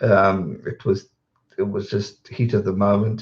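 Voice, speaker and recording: Here a man speaks at a fairly low pitch. His voice is somewhat breathy. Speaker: YouTuber, rugby commentator. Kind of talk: live stream chat. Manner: mumbling; casual, rambling.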